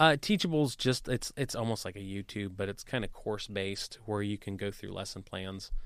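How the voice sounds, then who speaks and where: A man speaks at a fairly quick pace in a normal speaking voice with an American accent and a fairly low pitch, recorded very cleanly over a silent background. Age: 30s. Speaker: real estate investor and entrepreneur. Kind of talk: interview.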